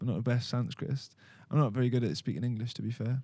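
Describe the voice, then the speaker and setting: A man of medium pitch with a Welsh accent. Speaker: podcast host. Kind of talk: casual spiritual discussion. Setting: studio, filmed podcast. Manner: words run together.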